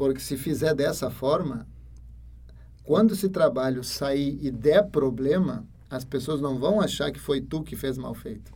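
With a Spanish accent and a dark, mellow tone, a man with a fairly high pitch for a man speaks at a fairly slow pace with vocal fry, ordinary pitch variation and big swings in loudness. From Ecuador. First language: Spanish (speaking Portuguese). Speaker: university lecturer. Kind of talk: interview.

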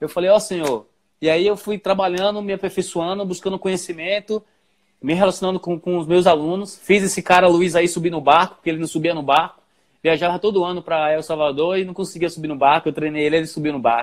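A man speaks at a very fast pace. His pitch is high and his intonation fairly even. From Bahia, Brazil. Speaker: personal trainer. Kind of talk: interview.

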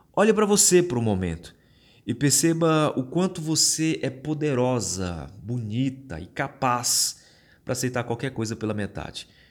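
A man speaks at a moderate pace and medium pitch, his pitch swinging very widely. The recording is very clean with a silent background. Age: 30s. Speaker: podcast host. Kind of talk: solo podcast monologue. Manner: casual.

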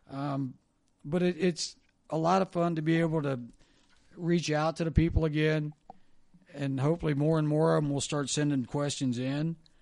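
Pausing long and often, a man with an American accent speaks at a moderate pace in a fairly high pitch and monotone, flat intonation. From Ohio. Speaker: former sports radio host. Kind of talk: casual chat.

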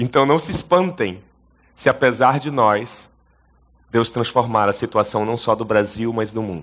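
At a fairly slow pace with long, frequent pauses, a man speaks at medium pitch with ordinary pitch variation over a quiet background. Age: 40s. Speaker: pastor. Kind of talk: sermon. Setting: stage with audience.

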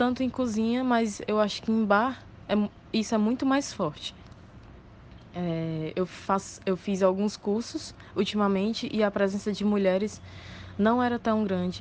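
A woman talks at a fairly slow pace with long, frequent pauses. Her medium pitch shows ordinary variation. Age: 20s. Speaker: bartender. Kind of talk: voice message testimony.

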